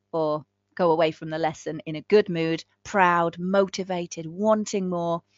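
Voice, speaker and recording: A woman speaks with an English Midlands accent at a fairly low pitch. Her tone is warm and animated. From England, Northampton. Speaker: ESL teacher trainer. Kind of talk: live webinar training. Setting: online live session. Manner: warm, animated.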